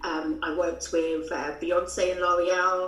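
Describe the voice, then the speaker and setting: A woman with a London accent speaks at a fairly low pitch. Music plays in the background, and there is audible room echo. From London, England. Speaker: brand consultant. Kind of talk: interview.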